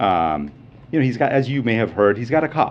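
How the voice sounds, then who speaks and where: A man's ordinary speaking voice, fairly quick and lively in intonation. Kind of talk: press briefing answer.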